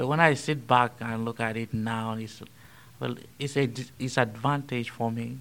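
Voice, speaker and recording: Speaking in a Nigerian accent, a man keeps his intonation fairly even. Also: medium pitch for a man. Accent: Nigerian English, noticeable. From Nigeria, Benue State. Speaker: transitional deacon. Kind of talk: interview conversation. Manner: speaks slowly.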